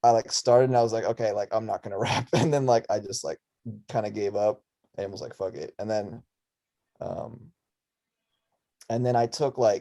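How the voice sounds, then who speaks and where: A man talks at a moderate pace with an Arizona accent. His speech has long, frequent pauses, and the sound is dry and close with no echo. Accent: American, Arizona. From Russia, moved to Tucson, Arizona at six. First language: Russian. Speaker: musician and clothing designer. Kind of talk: casual chat. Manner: casual, filler-heavy.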